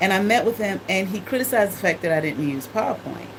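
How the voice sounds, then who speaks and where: A woman talks at a very fast pace in a medium pitch. Audible room echo and noticeable background noise accompany her voice. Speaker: former college teacher and spiritual talk host. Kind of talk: informal livestream lecture. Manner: halting, many fillers and repetitions.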